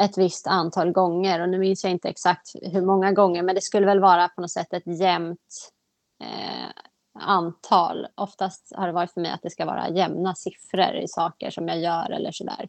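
Over a quiet background, a woman speaks at a moderate pace in a flat monotone, with a dry, close sound and no echo. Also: fairly low pitch for a woman. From Sweden, just north of Stockholm. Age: 30s. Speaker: person with OCD. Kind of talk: personal testimony interview.

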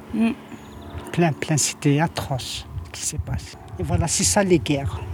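A woman speaks at a fairly slow pace with a very deep, low pitch. Background noise is noticeable. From Algeria. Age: 80s+. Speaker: grandmother in a documentary. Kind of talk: documentary interview. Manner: halting.

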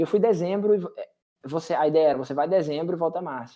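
This man talks in a high voice full of lively intonation. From Brazil, western Bahia. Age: 30s. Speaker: tech professional. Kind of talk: interview.

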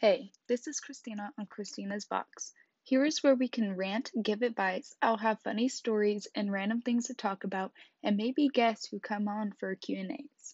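In a Midwestern US accent, a woman speaks at a moderate pace with a fairly high, somewhat breathy voice and ordinary pitch variation. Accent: US Midwest. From Kansas. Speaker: podcast host. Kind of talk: casual monologue.

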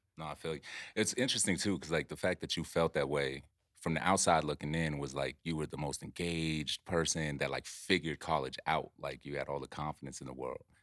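Speaking at a fairly quick pace, a man with vocal fry and a very deep, low pitch comes through on a very clean recording with a silent background. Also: dry, close sound with no echo. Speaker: podcast host. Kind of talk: casual chat. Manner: animated.

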